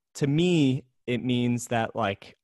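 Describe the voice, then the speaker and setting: A man's medium-pitched voice, an unremarkable speaking voice with ordinary pitch variation. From US, New Jersey, Pennsylvania and California. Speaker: accountant. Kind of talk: casual chat.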